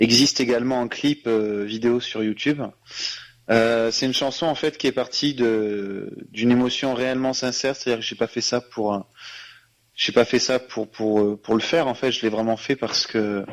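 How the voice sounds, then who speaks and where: A man's medium-pitched voice keeps fairly even intonation at a moderate pace. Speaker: singer. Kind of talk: radio interview. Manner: halting.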